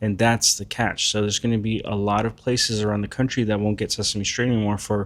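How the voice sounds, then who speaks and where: Fairly low-pitched, a man talks at a fairly quick pace in a monotone, flat intonation. The recording is very clean, with a silent background. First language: not English. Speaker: commentator, artist. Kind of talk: casual commentary vlog.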